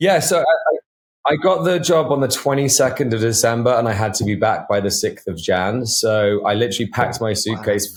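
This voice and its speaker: The speaker has a southern English accent, a somewhat breathy voice and lively intonation. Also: man, medium pitch for a man, fairly quick pace, hardly any pauses. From England, Devon. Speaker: actor. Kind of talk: interview.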